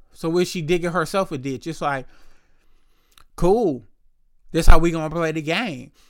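A man talks at a moderate pace with ordinary pitch variation, big swings in loudness and long, frequent pauses. The recording is very clean, with a silent background. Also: fairly high pitch for a man. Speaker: podcast host. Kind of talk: solo monologue rant. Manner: casual, conversational.

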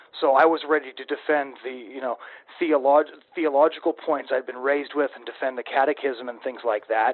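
A normal speaking voice from a man, fairly high in pitch, with fairly even intonation and big swings in loudness. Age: 20s. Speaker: podcast host. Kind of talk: interview.

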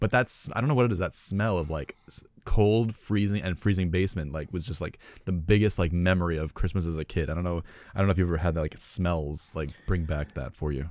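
In a very clean recording with a silent background, a man with an American accent speaks at a fairly quick pace, his very deep, low pitch varying in an ordinary way. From New York. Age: 30s. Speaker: podcast host. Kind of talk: casual chat.

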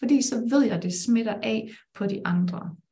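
A woman's fairly high-pitched, unremarkable speaking voice, with lively intonation and a fairly slow pace. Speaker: life coach and business mentor. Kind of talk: live-streamed conversation.

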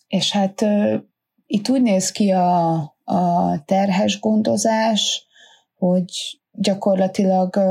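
On a very clean recording with a silent background, a woman speaks at medium pitch in a dark, mellow, somewhat breathy tone with fairly even intonation. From Hungary. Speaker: rafting business owner, mother. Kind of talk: interview.

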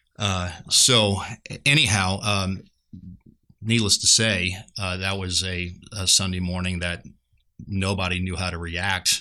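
Using long, frequent pauses, a man speaks fairly slowly in a very deep, low voice with a bright, sharp tone. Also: fairly even intonation. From Louisiana, near New Orleans. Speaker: pastor. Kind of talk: testimony.

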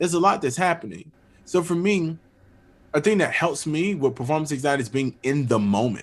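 Lively in intonation, a man talks at a fairly quick pace with an American accent and a fairly high pitch. He has a plain, everyday voice. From Florida, US South (Pensacola). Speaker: orchestral oboist. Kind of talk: interview conversation.

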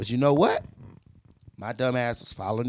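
At a moderate pace, a man talks at medium pitch. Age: 30s. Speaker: podcast host. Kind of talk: casual motivational monologue.

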